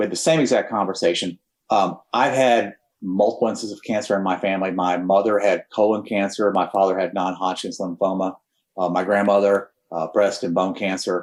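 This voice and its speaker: A man with a slight Texan accent talks at a fairly quick pace, his pitch fairly low and intonation fairly even. The recording is very clean, with a silent background. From Texas. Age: 60s. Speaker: cancer survivor, former air force pilot. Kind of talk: personal testimony in podcast interview. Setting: podcast studio.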